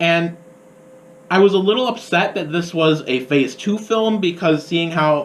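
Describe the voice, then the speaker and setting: A man with an American accent speaks at a fairly slow pace and a high pitch. His pitch varies in an ordinary way, and noticeable background noise is present. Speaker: college radio host, film reviewer. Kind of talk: radio film review. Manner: voice rising higher with excitement; animated.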